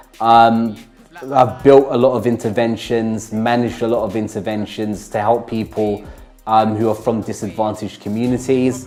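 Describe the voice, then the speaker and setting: Over music in the background, a man talks at medium pitch and a moderate pace with monotone, flat intonation. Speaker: co-founder and CEO of an arts therapy company. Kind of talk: interview answer. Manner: thoughtful, hesitant.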